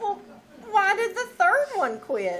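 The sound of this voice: Using a put-on character voice, a woman talks slowly at an extremely high pitch, her fairly bright tone making very wide pitch swings.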